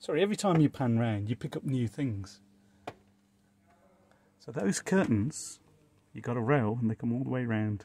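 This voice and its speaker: At a moderate pace, the voice carries a dark, mellow tone with long, frequent pauses in a dry sound with no echo. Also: man. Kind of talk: casual walk-around commentary. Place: hall. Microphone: phone near.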